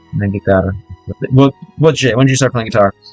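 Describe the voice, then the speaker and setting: A man at medium pitch with an American accent, dry and close with no echo, music in the background. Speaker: vlogger reacting to Russian music, learning Russian. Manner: hesitant, stumbling when speaking Russian.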